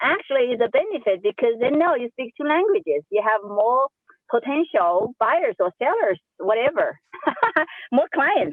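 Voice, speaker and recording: A woman with a strong Chinese accent, high-pitched, at a fairly slow pace with very wide pitch swings. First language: Sichuan dialect (Chinese). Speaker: real estate agent. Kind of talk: casual group discussion. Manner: energetic.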